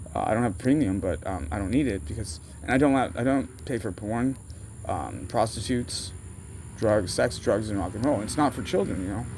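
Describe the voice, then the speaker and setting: Audible room echo surrounds a man with an American accent whose fairly low, somewhat breathy voice has lively intonation. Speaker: vlogger. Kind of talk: casual rambling monologue. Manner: fast; halting, self-interrupting.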